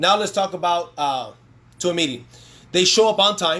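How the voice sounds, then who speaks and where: In a very clean recording with a silent background, a man talks with lively intonation in a high voice with a bright, sharp tone. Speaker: network marketing trainer. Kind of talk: live-streamed sales training. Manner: fast; animated.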